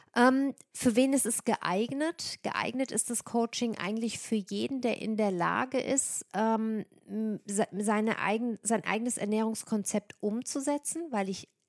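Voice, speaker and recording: A woman speaks at a fairly slow pace in a plain, everyday voice, her pitch fairly high with ordinary variation, on a very clean recording with a silent background and a dry, close sound with no echo. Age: 40s. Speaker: nutrition coach and podcast host. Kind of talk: solo monologue about own services.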